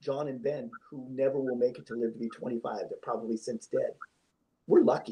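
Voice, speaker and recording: The loudness rises and falls sharply. The pace is fairly quick. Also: man. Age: 60s. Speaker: volunteer guest. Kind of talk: live talk show.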